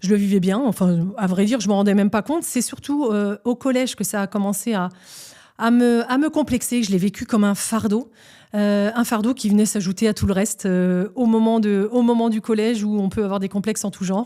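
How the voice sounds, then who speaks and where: Fairly quick in pace, a woman speaks at medium pitch with a dark, mellow tone. Her intonation is fairly even, and the recording is very clean with a silent background. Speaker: podcast host. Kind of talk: personal storytelling monologue. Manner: hesitant with fillers.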